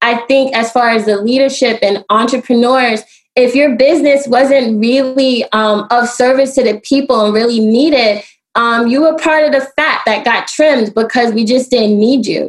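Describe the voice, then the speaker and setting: A woman's high pitch with fairly even intonation, very even loudness and an American accent. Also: moderate pace. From US Northeast, Brooklyn New York. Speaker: solar energy entrepreneur. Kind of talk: interview.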